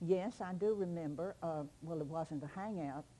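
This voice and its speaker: With a Kentucky accent, a woman speaks in a dark, mellow tone with a fairly low pitch, ordinary pitch variation and a moderate pace. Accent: Kentucky Southern. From Simpson County, Kentucky. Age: 80s+. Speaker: local historian. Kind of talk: oral history interview. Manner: halting.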